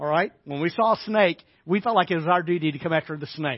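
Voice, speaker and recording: A man with an American accent speaks at a high pitch, with ordinary pitch variation. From US South, Arkansas. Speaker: pastor. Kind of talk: sermon. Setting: church.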